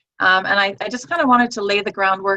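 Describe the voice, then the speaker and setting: This woman talks at a medium pitch with ordinary pitch variation. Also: dry, close sound with no echo. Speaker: network marketing team leader. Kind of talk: online training session. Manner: fast; hesitant, many fillers.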